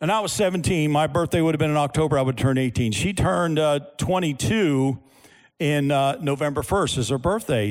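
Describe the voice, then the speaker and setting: In an ordinary speaking voice, a man with a fairly high pitch talks at a moderate pace with lively intonation, on a very clean recording over a silent background. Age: 60s. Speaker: pastor. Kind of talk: sermon. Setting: church with audience.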